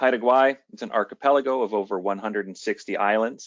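The man has an unremarkable speaking voice with fairly even intonation. He talks at a fairly slow pace against a quiet background. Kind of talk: lecture. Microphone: headset.

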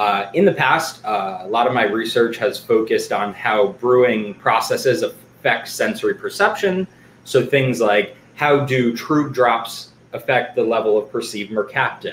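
Speech at a moderate pace comes through light background noise and audible room echo. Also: man. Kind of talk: lecture. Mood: excited, friendly. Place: home room. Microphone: webcam.

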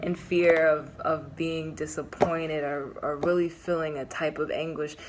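At a fairly slow pace, a woman talks in a fairly low pitch with fairly even intonation. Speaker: tarot reader. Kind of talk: casual tarot reading chat. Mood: calm, reassuring. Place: home room. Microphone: phone near.

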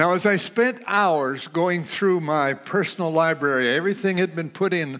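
The man's pitch is high. He speaks at a very slow pace with ordinary pitch variation. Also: quiet background. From United States. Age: 80s+. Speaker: pastor. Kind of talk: sermon. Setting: church auditorium. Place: studio. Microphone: headset.

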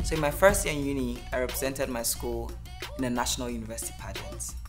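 Clear music sits behind the voice. The talking goes very fast. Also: woman. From Nigeria. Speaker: nurse, pilot, content creator. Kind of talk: personal story podcast. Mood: warm, reflective storytelling. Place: home room.

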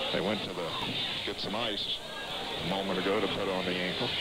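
The sound is dry with no echo, under loud background noise. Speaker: play-by-play announcer. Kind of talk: live high school basketball play-by-play, rapid call of each pass and shot. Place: hall.

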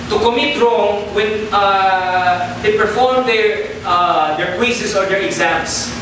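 Amid strong room echo and noticeable background noise, a man with a high pitch talks at a very slow pace. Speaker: preacher. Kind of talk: sermon. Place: church.

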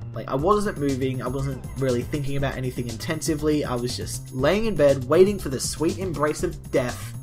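Over clear music in the background, a man with an Australian accent speaks at a fairly quick pace. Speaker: vlogger. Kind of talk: casual talk to camera. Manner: joking. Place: home room. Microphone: webcam.

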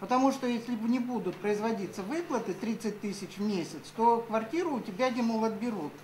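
A woman talks at a fairly quick pace and fairly high pitch, with hardly any pauses and ordinary pitch variation. It is a plain, everyday voice over light background noise. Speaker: audience member asking questions; audience member. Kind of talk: question from the floor. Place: meeting room. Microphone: camera far.

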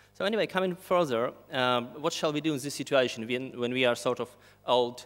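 This is a man speaking. His pace is fairly quick. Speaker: speaker. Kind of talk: conference talk. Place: hall. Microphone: podium.

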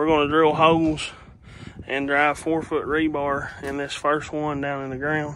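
Speaking in an Appalachian accent, a man with a fairly high pitch talks at a fairly slow pace in a monotone, flat way, the sound dry with no echo and light background noise. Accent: Appalachian Southern US. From Kentucky Appalachia, US. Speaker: DIY builder and YouTuber. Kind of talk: casual how-to video narration. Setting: outdoors at job site. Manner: casual, folksy. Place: garden. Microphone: phone near.

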